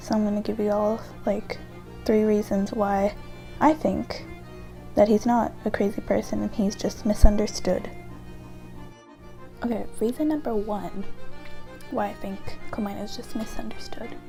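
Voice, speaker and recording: A soft-spoken woman talks at a moderate pace with long, frequent pauses while music plays in the background. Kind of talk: casual talk to camera, opinion essay about a video game character. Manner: quiet, soft-spoken.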